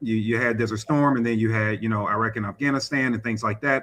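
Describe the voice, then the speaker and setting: Here a man speaks with an American accent. His tone is bright and sharp. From St. Louis, Missouri (north side). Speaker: firearms instructor and community activist. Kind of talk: podcast interview. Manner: conversational with many fillers.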